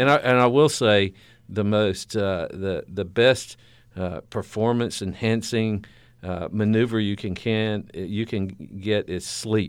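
In a Southern US accent, a man speaks at a very slow pace with fairly even intonation. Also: fairly low pitch for a man. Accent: southern American. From US South. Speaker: university president. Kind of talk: interview. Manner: halting.

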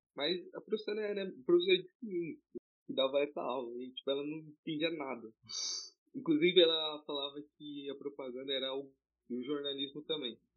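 An unremarkable speaking voice moves at a fairly quick pace with ordinary pitch variation and big swings in loudness. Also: man, fairly high pitch for a man. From São Paulo city, East Zone. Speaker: podcast co-host, pre-university student. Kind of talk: casual chat.

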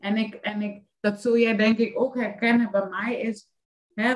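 Somewhat breathy and fairly high in pitch, a woman talks at a fairly slow pace. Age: 30s. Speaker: life coach. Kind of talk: casual chat.

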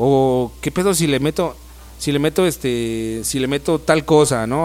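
Here a man's fairly high voice carries ordinary pitch variation. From Mexico, Estado de México (Ecatepec). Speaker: rapper. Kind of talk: casual interview chat. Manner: casual, hesitant with fillers.

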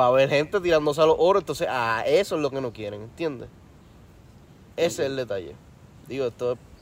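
A man speaks very fast in a fairly high pitch with lively intonation. Long pauses come often between his bursts. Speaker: podcast co-host. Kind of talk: casual chat.

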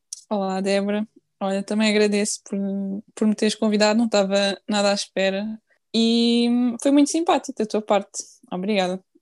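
Against a quiet background, the speech moves at a moderate pace with fairly even intonation and long, frequent pauses, in a dry, close sound with no echo. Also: woman, fairly high pitch for a woman. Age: 20s. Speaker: nurse. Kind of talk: casual interview.

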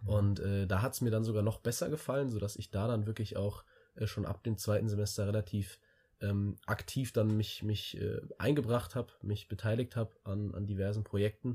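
On a very clean recording with a silent background, a man speaks at a moderate pace in a fairly low pitch, his somewhat breathy, dark, mellow tone holding fairly even intonation. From Germany, Hesse (near Wiesbaden). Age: 20s. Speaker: student, club chairman. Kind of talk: casual chat. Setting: in person, shared room. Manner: halting, many fillers.

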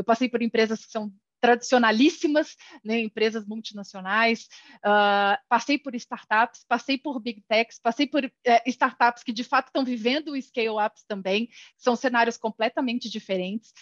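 A woman's normal speaking voice, fairly high in pitch with fairly even intonation, comes through dry and close with no echo, showing big swings in loudness. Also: moderate pace. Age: 40s. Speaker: HR executive. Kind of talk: casual interview.

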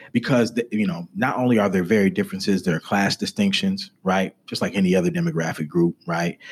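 A man talks at a fairly quick pace in a normal speaking voice. His pitch is fairly low and his intonation is lively. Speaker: podcast host. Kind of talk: interview conversation.

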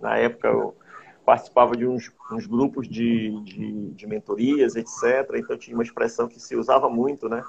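A man is speaking. His pace is fairly slow. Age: 50s. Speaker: hypnotherapist. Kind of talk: interview. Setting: online call.

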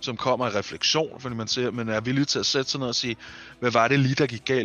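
A man's normal speaking voice at medium pitch, fairly quick in pace with fairly even intonation. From eastern Denmark. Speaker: roleplay gamer podcast host. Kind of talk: casual chat.

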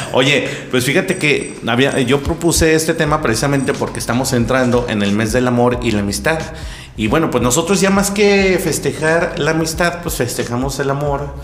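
Over noticeable background noise and audible room echo, a man with a Mexican accent talks at a moderate pace, with a fairly high pitch and lively intonation. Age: 30s. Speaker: podcast host. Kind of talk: casual chat. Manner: animated.

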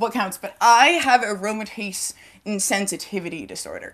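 Here a woman uses a plain, everyday voice at a fairly high pitch. She talks at a fairly slow pace with lively intonation. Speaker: guest interviewee. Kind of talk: casual interview conversation. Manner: filler-heavy, rambling.

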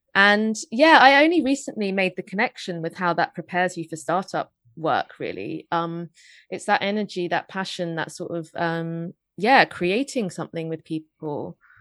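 Over a quiet background, a woman with a London accent speaks at a moderate pace and medium pitch with lively intonation, the sound dry and close with no echo. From England, North London. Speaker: podcast co-host and writer. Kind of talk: casual chat.

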